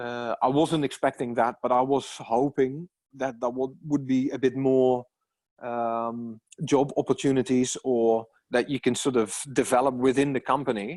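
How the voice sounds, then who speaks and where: With a non-native accent, a man speaks at a medium pitch and moderate pace with fairly even intonation. The recording is very clean, with a silent background and a dry, close sound with no echo. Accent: non-native English accent, noticeable. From Netherlands. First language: Dutch. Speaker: musician, immigrant. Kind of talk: casual interview.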